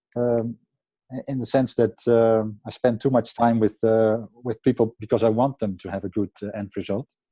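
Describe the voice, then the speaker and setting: A man with a Dutch accent talks at a moderate pace in a medium pitch. His tone is dark and mellow, and his intonation is monotone and flat. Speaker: website conversion optimizer. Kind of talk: group coaching call presentation. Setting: video call. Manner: halting, many fillers.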